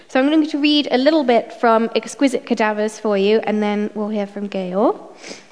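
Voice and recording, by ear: At a moderate pace, a woman talks with a medium pitch. Her tone is slightly mellow.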